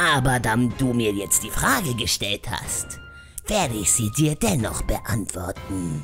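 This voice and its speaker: Clear music plays behind a man using a put-on character voice at medium pitch and a moderate pace. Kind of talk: parody fandub, in-character Q&A. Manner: haughty, condescending.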